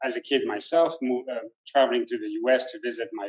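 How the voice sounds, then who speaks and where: This voice carries a French accent. It moves at a moderate pace. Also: man. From France. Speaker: restaurant owner. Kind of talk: panel discussion. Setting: restaurant event. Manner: hesitant, many fillers.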